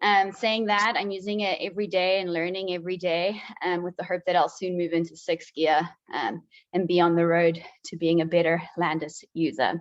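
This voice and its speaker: Keeping a fairly even intonation, a woman speaks at a moderate pace with a fairly low pitch. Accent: South African. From South Africa. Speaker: PhD candidate, researcher presenting. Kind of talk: conference presentation.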